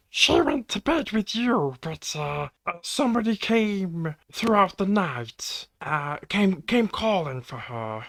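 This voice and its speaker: A put-on character voice at a middle pitch, fairly slow in pace, with hardly any pauses. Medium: actual play. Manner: hesitant, stammering.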